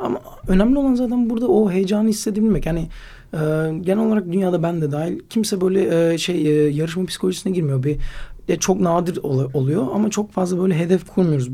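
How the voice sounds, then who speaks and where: The voice is dark and mellow, with lively intonation at a very fast pace. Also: man. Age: 20s. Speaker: slackline athlete and climber. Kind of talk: casual interview.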